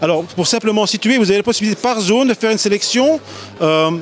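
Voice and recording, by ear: The speech comes at a fast pace with lively intonation. Faint background noise can be heard. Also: man, high pitch for a man.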